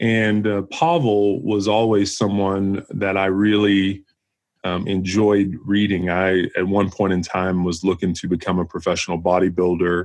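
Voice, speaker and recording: An unremarkable speaking voice, fairly slow in pace, with fairly even intonation. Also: man, fairly low pitch for a man. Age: 40s. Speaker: retired police officer and gym owner. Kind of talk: casual interview.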